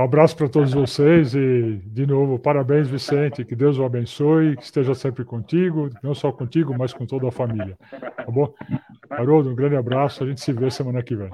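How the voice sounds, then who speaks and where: This man has a normal speaking voice and a medium pitch. He keeps a moderate pace, and his intonation stays fairly even. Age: 60s. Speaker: professor, maintenance management expert. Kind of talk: casual chat. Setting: video call. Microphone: clear audio despite poor video.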